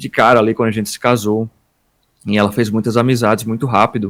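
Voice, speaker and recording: At a fairly quick pace, a man speaks in an ordinary speaking voice at medium pitch, captured in a very clean recording with a silent background. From Northeast Brazil, Paraíba. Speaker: worship ministry leader. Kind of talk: podcast interview.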